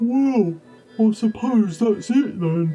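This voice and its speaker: A put-on character voice with a fairly high pitch plays over faint music in the background. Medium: short film.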